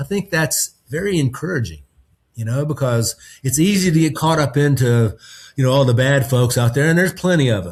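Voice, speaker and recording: Somewhat breathy and fairly high-pitched, a man with a Southern US accent talks at a fairly quick pace with lively intonation. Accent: Southern US accent, retained. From North Carolina. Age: 60s. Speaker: podcast guest. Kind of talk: casual chat. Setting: video call. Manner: relaxed, filler-heavy.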